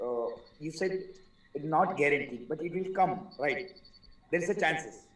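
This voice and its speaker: Audible room echo surrounds this voice, which moves at a moderate pace with ordinary pitch variation. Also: man, high pitch for a man. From India. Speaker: webinar participant. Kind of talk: asking a question. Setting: video call webinar. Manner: halting. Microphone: distant, echoey at first.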